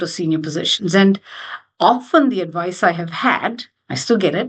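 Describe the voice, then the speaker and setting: A woman speaks with an Indian accent. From India, Mumbai. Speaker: finance executive and board member. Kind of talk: interview conversation.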